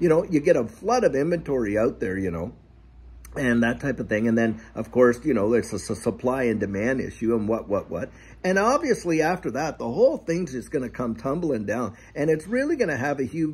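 A man speaks at a fairly quick pace with lively intonation. His voice carries vocal fry. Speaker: channel host. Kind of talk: casual vlog chat. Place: garden. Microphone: phone near.

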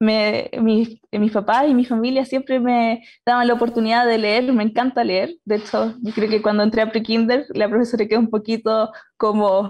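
Over a quiet background, a woman talks at a moderate pace in a fairly high pitch with monotone, flat intonation. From Chile, Concepción; Chile. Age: 20s. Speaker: aerospace engineering student. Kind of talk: personal story in panel talk. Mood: warm, smiling. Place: home room. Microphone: video call.

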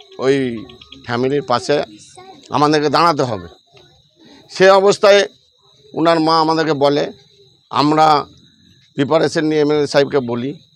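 Fairly high-pitched male speech in a plain, everyday voice, its pitch varying in an ordinary way. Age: 50s. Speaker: local party worker. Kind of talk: news interview statement.

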